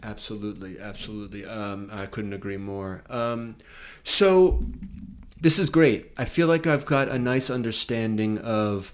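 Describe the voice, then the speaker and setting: With a Boston accent, a man speaks fairly slowly at a medium pitch, his intonation lively and his loudness swinging widely. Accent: Boston American. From Boston, Massachusetts. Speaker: podcast host, filmmaker. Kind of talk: casual interview. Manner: halting, many fillers and restarts.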